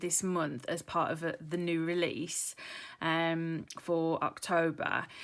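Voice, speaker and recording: With a British accent, a woman speaks at a very slow pace in a fairly low pitch. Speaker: craft YouTuber. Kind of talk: tutorial. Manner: hesitant, many ums.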